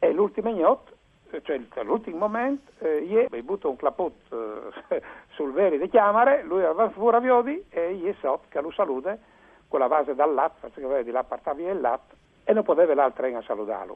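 A man talks at a moderate pace with a high pitch. His pitch swings very widely. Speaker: literary translator. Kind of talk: radio interview. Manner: halting.

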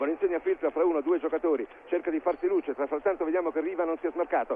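A man speaks with very wide pitch swings over noticeable background noise. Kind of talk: live radio match commentary. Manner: fast, breathless, rising excitement at goals; excitable, rapid-fire play-by-play, repeats key phrases.

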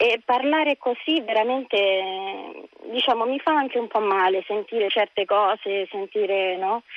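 Keeping her loudness very even, a woman with a fairly high pitch and ordinary pitch variation speaks with long, frequent pauses. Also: moderate pace. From Rome, Centocelle. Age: 30s. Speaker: radio caller. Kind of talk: call-in conversation. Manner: halting.

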